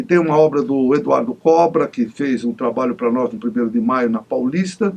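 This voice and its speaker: With a plain, everyday voice, a man talks at a moderate pace, fairly high in pitch and lively in intonation. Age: 60s. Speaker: TV interview host and union leader. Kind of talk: TV interview.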